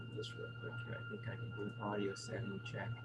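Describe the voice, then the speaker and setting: Soft-spoken, a man talks at a fairly quick pace. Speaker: conference presenter. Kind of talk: conference presentation. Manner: soft, trailing off at sentence ends. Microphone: feedback and hum from microphone, too quiet.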